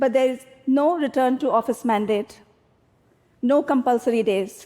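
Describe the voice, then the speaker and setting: A high-pitched woman's voice with an Indian accent. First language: Hindi. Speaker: tech company executive. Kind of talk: public talk.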